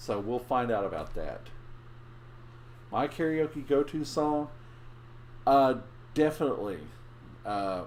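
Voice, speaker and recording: Speaking at a fairly slow pace with long, frequent pauses, a man uses ordinary pitch variation. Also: fairly high pitch for a man. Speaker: live streamer. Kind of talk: casual live stream chat. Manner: halting, many restarts.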